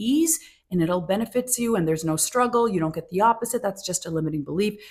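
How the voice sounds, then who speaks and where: A woman speaks at a very fast pace in a somewhat breathy voice. Her pitch swings very widely. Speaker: manifestation coach. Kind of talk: casual talk to camera. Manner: halting, self-correcting at times.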